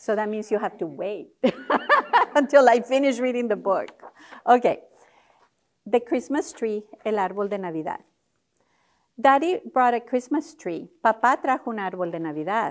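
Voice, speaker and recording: Her intonation lively and her pitch fairly high, a woman speaks at a moderate pace with long, frequent pauses. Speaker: professor leading a parent literacy workshop. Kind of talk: bilingual workshop presentation.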